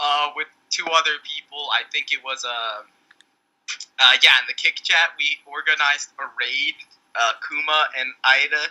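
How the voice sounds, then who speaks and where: The sound is dry and close, with no echo at all. A man talks at a fairly slow pace. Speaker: podcast host. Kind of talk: casual chat.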